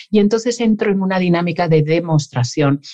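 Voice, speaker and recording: A woman speaks in a dark, mellow tone. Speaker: psychologist. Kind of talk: interview.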